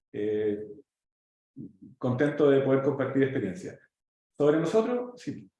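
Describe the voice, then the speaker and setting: A man talks fairly slowly with long, frequent pauses, and room echo is audible. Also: fairly high pitch for a man. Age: 40s. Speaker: pharmaceutical company executive and startup mentor. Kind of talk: presentation with slides. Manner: halting, many fillers.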